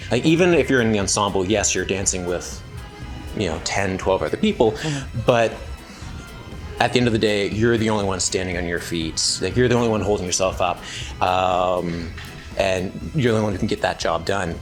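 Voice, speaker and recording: Music plays in the background as a man speaks with a Canadian accent. His pitch is fairly low and his pace fairly quick. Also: ordinary pitch variation. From New Brunswick, Canada. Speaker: ballet dancer. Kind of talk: interview answer. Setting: backstage.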